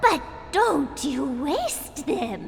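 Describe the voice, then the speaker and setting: Amid clear background noise, a female-sounding voice cackles in a high-pitched, put-on character voice. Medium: video game. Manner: cackling, cryptic.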